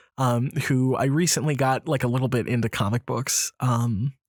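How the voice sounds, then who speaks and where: Recorded very cleanly against a silent background, a man's voice comes through dry and close with no echo. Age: 30s. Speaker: comics video creator. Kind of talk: casual monologue. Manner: halting, many fillers.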